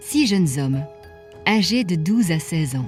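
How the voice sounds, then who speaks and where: Music is playing in the background. The words come at a very slow pace. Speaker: narrator. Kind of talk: audio drama story narration.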